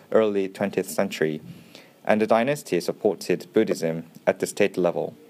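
Speaking at a moderate pace with a Korean accent, a man uses a very deep, low pitch and ordinary pitch variation. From South Korea. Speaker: archaeologist. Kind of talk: scripted narration. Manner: halting.

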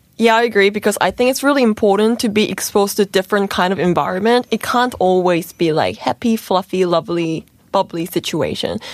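A woman with a New Zealand accent speaks with hardly any pauses. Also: medium pitch for a woman, ordinary pitch variation, fairly quick pace, very even loudness. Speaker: relationship talk guest. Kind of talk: casual chat. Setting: radio studio.

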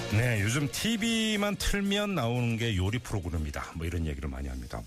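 On a very clean recording with a silent background, a man delivers his words at a fairly quick pace. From west coast of South Korea. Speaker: radio host. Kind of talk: radio interview.

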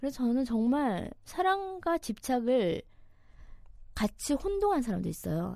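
A woman's dark, mellow tone at a high pitch, with very wide pitch swings. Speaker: news reporter and podcast host. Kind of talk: casual banter on dating topics. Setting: studio.

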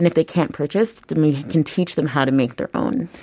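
A woman's fairly quick voice with a dark, mellow tone, ordinary pitch variation and an American accent. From US, Maryland suburb near DC. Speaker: zero waste shop founder. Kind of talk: radio interview.

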